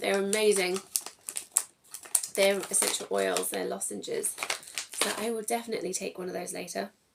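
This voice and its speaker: This woman speaks in an English accent at a moderate pace. She leaves long, frequent pauses. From England. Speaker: tarot reader. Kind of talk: tarot reading. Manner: casual, chatty.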